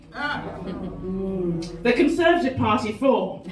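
A woman's voice moves through very wide pitch swings. Audible room echo and light background noise surround it. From English Midlands and Lincolnshire; English Midlands. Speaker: comedian. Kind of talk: stand-up. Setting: stage with audience. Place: stage.

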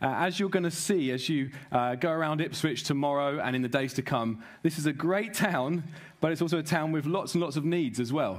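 A man speaks fairly quickly, his pitch moving in an ordinary way, with a quiet background behind him. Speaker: preacher welcoming a conference. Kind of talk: sermon. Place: stage. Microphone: headset.

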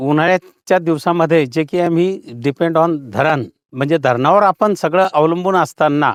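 Recorded with a dry, close sound and no echo, a man with a fairly high pitch keeps very even loudness and ordinary pitch variation. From Jalgaon district, Maharashtra. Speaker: farmer. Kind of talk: testimony. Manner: halting.

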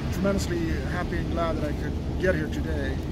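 Loud background noise sits behind a man whose voice comes through dry, with no echo. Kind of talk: interview answer. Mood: moved, reflective, grateful. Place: open country. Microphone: phone near.

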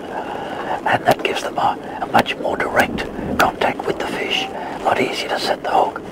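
A man at a moderate pace, dry sound with no echo, loud background noise. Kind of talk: interview answer. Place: boat.

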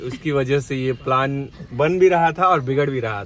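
A man at a fairly slow pace with ordinary pitch variation, dry sound with no echo, and light background noise. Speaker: family vlogger. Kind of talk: casual vlog chat. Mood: cheerful, joking. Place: car. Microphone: phone near.

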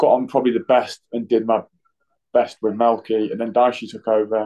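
A man with an East Midlands accent against a quiet background. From Nottingham, England. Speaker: professional footballer (goalkeeper). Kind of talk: interview. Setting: hotel room, remote call. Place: home room. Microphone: video call.

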